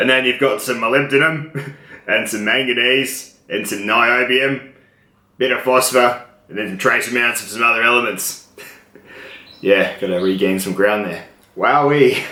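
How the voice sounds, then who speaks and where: Noticeable background noise and audible room echo surround a man at medium pitch. He keeps a moderate pace with fairly even intonation. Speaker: knife reviewer. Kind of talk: product review tutorial.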